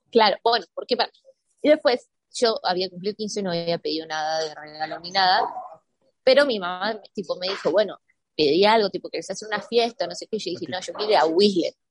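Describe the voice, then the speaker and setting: Lively intonation and big swings in loudness shape a woman's medium-pitched, a plain, everyday voice at a fairly quick pace. The sound is dry and close with no echo. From Argentina, San Martín de los Andes (Patagonia). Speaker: professional mountain biker. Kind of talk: interview.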